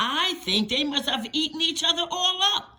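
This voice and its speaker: A put-on character voice that sounds female, at an extremely high pitch for a woman and a moderate pace. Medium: read story.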